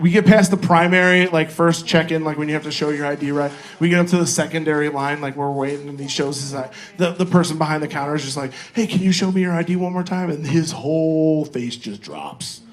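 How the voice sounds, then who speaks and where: A man's animated, fairly high voice at a very fast pace, with audible room echo and noticeable background noise. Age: 40s. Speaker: comedian. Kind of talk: stand-up. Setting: stage with audience.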